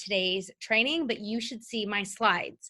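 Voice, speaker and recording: A woman talks at a fairly slow pace in a fairly high pitch with ordinary pitch variation. Her tone is bright and sharp. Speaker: social media strategist and workshop teacher. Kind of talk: live online workshop. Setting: live video stream with chat.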